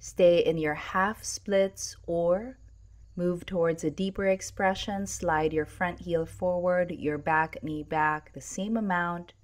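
At a very slow pace, a woman with a fairly low pitch speaks with fairly even intonation on a very clean recording with a silent background. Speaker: yoga instructor. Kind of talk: guided yoga class. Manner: calm, soothing, measured; brisk, rhythmic cueing with breath.

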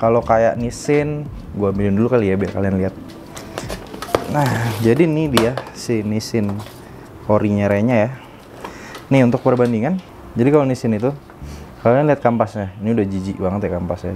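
A man speaks at a fairly quick pace. Light background noise sits behind him. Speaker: home mechanic vlogger. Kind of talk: tutorial. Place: garage.

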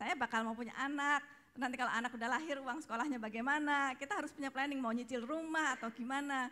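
Her high, bright, sharp voice is raised and projected as the woman talks at a very fast pace with fairly even intonation. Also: hardly any pauses. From Indonesia. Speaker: speaker's wife, co-presenter; speaker, presenter. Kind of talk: testimony. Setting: stage with audience. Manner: casual, laughing. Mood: cheerful, laughing often. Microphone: handheld.

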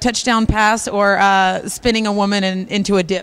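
On a very clean recording with a silent background, a woman with an ordinary speaking voice and fairly high pitch talks at a moderate pace. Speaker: TV host. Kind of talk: TV host presenting. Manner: upbeat.

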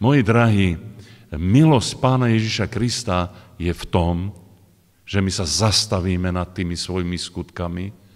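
Pitch varies in an ordinary way at a fairly slow pace. Behind it, the background stays quiet. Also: man. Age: 60s. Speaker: preacher. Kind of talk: sermon. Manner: halting. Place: hall. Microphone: podium.

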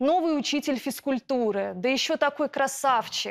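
A woman's voice with very wide pitch swings against a quiet background. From Russia. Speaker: schoolteacher, plaintiff; schoolteacher. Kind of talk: courtroom testimony. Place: studio.

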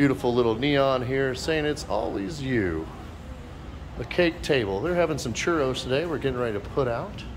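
A man's medium-pitched voice with lively intonation at a moderate pace, over noticeable background noise. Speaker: wedding venue promoter. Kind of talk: walking sales-pitch venue tour, showing rooms to camera. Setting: walking indoors and outdoors at event venue. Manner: upbeat, gushing pitchman piling on 'beautiful' and 'absolutely gorgeous'; showman-style addresses, repeatedly saying 'ladies and gentlemen'. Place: hall. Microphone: phone near.

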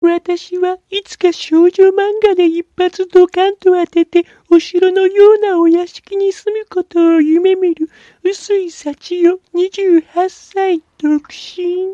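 This female-sounding voice is a put-on character voice. It stays extremely high in pitch with monotone, flat intonation. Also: fairly slow pace.

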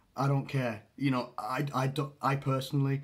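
Somewhat breathy, this man's voice holds a medium pitch. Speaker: football vlogger. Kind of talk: solo opinion video. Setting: home recording, solo to camera. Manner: halting, hedging.

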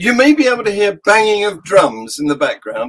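A man talks at a moderate pace in a high pitch. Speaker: podcast host. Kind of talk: casual podcast chat. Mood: cheerful, jokey. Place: home room.

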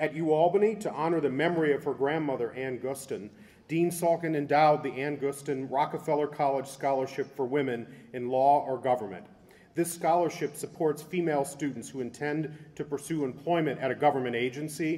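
Moving at a fairly quick pace, a man's dark, mellow voice shows ordinary pitch variation. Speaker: university official. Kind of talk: formal introduction. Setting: stage with audience. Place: hall. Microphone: podium.

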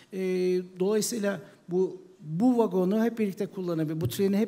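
Speaking at a fairly quick pace, a man has a high-pitched voice with a dark, mellow tone and ordinary pitch variation. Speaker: e-commerce founder; panelist. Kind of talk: panel talk. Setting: stage with audience. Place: stage.

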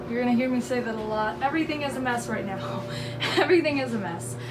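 Amid audible room echo, a woman speaks at a fairly high pitch with ordinary pitch variation.

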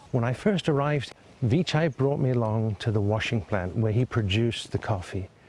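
Somewhat breathy and at a fairly quick pace, a man talks at a medium pitch with ordinary pitch variation and very even loudness. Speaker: businessman and interviewee. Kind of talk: interview soundbites.

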